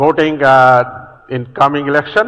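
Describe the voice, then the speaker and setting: In a flat, monotone delivery, a man speaks at a fairly high pitch. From Bangladesh. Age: 60s. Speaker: policy presenter. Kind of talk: conference presentation. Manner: halting with self-corrections.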